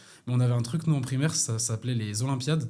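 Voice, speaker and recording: A somewhat breathy man with a dark, mellow tone, talking at a very fast pace. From France, Paris region (Hauts-de-Seine). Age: 20s. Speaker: professional American football player. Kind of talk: interview. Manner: casual, animated.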